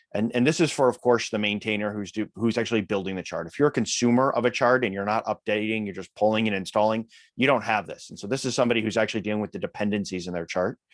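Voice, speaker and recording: A man with an American accent talks at a very fast pace in a fairly low voice with ordinary pitch variation, in a very clean recording with a silent background and a dry, close sound with no echo. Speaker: open-source software maintainer. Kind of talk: technical meeting discussion.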